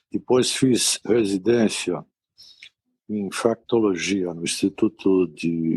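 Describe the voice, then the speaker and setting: A man's fairly low voice with lively intonation, in a dry, close sound with no echo. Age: 60s. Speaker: physician, infectious disease specialist. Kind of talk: interview. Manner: calm.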